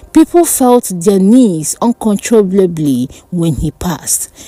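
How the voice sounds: Slowly, a woman speaks in a dark, mellow tone with big pitch swings.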